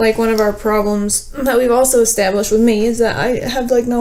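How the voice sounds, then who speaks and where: A woman's fairly high voice at a very fast pace, with audible room echo and noticeable background noise. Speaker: documentary subject. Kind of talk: emotional argument. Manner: halting.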